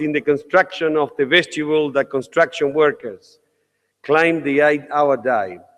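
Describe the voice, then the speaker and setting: A man with a Uruguayan accent, fairly high pitch and a moderate pace. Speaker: parliament speaker, politician. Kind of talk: welcome speech. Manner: formal.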